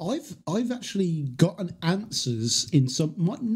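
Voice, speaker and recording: A man with a British accent speaks at a high pitch, his voice swinging very widely in pitch. His tone is dark and mellow. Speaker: podcast host. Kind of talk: casual chat.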